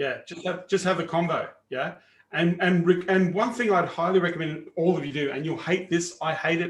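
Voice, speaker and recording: Speaking at a fairly quick pace, a man with an Australian accent has a high pitch. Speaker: sales coach. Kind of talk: live training webinar. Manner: casual, animated.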